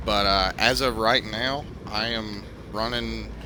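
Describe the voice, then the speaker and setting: Against noticeable background noise, a man with a Southern US accent speaks at a fairly low pitch. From US South. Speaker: video game streamer. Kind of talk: live gameplay commentary. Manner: hesitant, many fillers.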